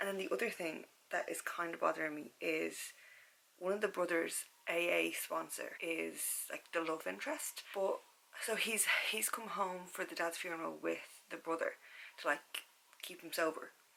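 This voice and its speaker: This woman speaks with a Dublin accent. Her pace is moderate. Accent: Irish (Dublin). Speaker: book vlogger and secondary school teacher. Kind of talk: casual vlog chat. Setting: at home, bedroom at night. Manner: filler-heavy casual; soft-spoken, lowered voice. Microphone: camera's built-in audio, no external mic.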